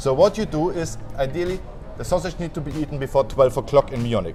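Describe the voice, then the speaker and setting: Someone speaks with a German accent while music plays in the background. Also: man. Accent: German (Franconian) accent in English. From Germany, northern Bavaria (Franconia). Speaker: hotel general manager, former chef. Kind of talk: interview.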